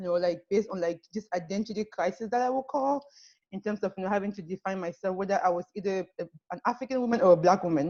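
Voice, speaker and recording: Very fast speech in a French accent, with ordinary pitch variation. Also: woman, medium pitch for a woman. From Cameroon. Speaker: panelist sharing life story. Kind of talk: personal testimony. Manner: halting, many fillers.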